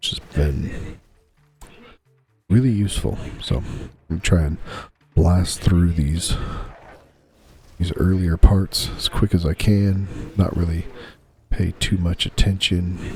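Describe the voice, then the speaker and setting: This man's voice is very deep and low, and he speaks quietly with ordinary pitch variation. His pace is very slow, broken by long, frequent pauses. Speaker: gaming YouTuber. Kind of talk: gameplay commentary. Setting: home recording, bedroom with TV on. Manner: quiet, low voice.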